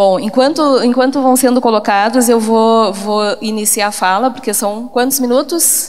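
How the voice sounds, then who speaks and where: Speaking in a southern Brazilian accent, a woman talks at a fairly slow pace with hardly any pauses. Her high voice shows ordinary pitch variation, and room echo is audible. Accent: gaúcho accent, noticeable. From southern Brazil, Porto Alegre (Rio Grande do Sul). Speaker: education professor. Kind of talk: conference talk.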